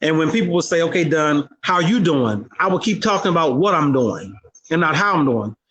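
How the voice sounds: This man talks at a fairly quick pace with lively intonation, a fairly high pitch, a fairly bright tone and a slightly husky edge.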